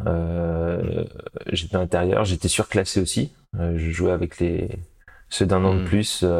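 Very slow speech with long, frequent pauses and fairly even intonation. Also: man, very deep, low pitch for a man. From Paris region, France. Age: 30s. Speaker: parabadminton athlete. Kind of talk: interview. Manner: halting.

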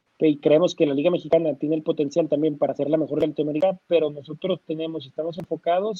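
Fairly even in intonation and fairly high in pitch, the man's voice is an unremarkable speaking voice. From Mexico, Torreón. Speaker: basketball sports agency founder. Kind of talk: interview.

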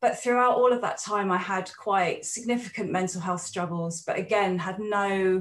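At a fairly slow pace, a woman speaks in a medium pitch, somewhat breathy, with lively intonation. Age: 40s. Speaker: counsellor and psychotherapist. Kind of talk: interview conversation.

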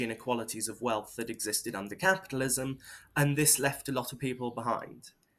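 The speaker has a British accent and fairly even intonation. The recording is very clean, with a silent background. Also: man. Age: 20s. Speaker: political activist. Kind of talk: interview. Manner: halting.

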